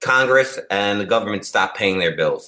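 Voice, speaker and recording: A man with an American accent. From New York, Long Island (Massapequa). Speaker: cannabis company co-founder. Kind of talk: casual chat.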